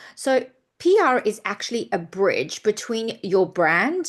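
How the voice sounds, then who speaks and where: A woman is talking here. She speaks with a non-native accent. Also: quiet background. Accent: non-Australian accent that stayed. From UK and South Africa. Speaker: PR consultant. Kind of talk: presentation.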